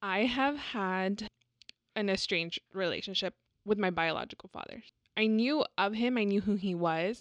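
Speaking at a moderate pace with a Texan accent, a woman has a medium pitch and ordinary pitch variation. The sound is dry and close with no echo, and the background is quiet. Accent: Texan American English. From Texas, San Antonio. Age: 20s. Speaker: podcast co-host. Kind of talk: casual chat. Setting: home studio.

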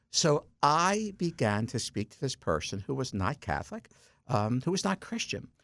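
A man's vocal fry and very wide pitch swings at a moderate pace, in a very clean recording with a silent background. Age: 60s. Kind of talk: radio interview. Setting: studio.

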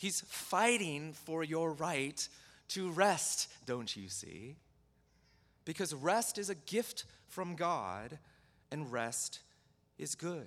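Speaking very slowly with long, frequent pauses, a man with a fairly high pitch and vocal fry swings very widely in pitch. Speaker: pastor. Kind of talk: sermon. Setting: church.

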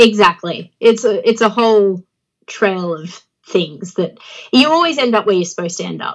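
Speaking with an Australian accent, a woman uses a medium pitch and lively intonation at a moderate pace. Her loudness swings widely. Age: 30s. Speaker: professional wrestler. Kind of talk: casual interview. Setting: remote interview.

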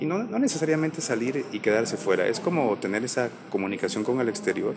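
Noticeable background noise sits under a man talking at a very fast pace with very wide pitch swings. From Guatemala. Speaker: actor. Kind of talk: interview conversation.

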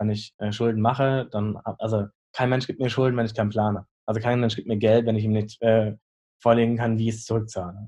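Medium in pitch, a man's voice has a dark, mellow tone and monotone, flat intonation. He speaks at a very fast pace. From northern Germany, Lüneburg Heath. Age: 20s. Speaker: chef and restaurant owner. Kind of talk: casual interview.

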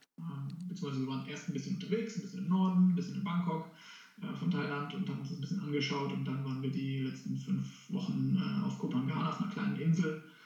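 Through noticeable background noise and audible room echo, a man speaks at a fairly high pitch. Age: 30s. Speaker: vegan family congress organizer. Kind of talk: interview. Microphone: poor recording quality.

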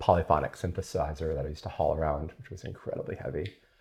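Here a man with an American accent talks at a very fast pace, his pitch very deep and low. He sounds somewhat breathy, with fairly even intonation. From Southern California (La Jolla). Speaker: neuroscientist and professor. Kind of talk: casual chat while cooking. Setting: home kitchen.

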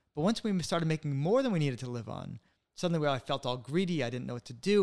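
A man talks at a very fast pace in a New England accent, fairly high in pitch with ordinary pitch variation. The recording is very clean, with a silent background. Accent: American English, New England. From US Northeast, Connecticut (West Hartford). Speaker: author. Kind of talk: interview.

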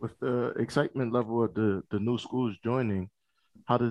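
Speaking at a fairly quick pace, a man with a slight East Coast US accent keeps his intonation fairly even. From Philadelphia. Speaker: college conference staffer. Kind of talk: casual interview.

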